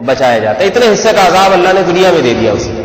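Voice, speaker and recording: A man speaks at a high pitch and a moderate pace, with very wide pitch swings. Audible room echo and noticeable background noise fill the recording. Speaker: Islamic preacher. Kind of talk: sermon. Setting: PA system.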